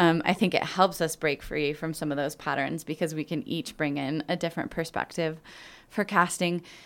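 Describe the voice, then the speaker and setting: An ordinary speaking voice comes from a woman with a fairly low pitch and ordinary pitch variation. She speaks at a moderate pace in a very clean recording with a silent background. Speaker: theater podcast host. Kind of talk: casual chat. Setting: studio.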